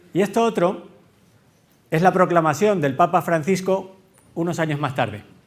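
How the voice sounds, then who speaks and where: A man with a Canarian accent and a high pitch speaks at a moderate pace, with long, frequent pauses. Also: ordinary pitch variation. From Canary Islands. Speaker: tech company executive, conference speaker. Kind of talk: conference talk. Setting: stage with audience. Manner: engaging, addresses audience directly.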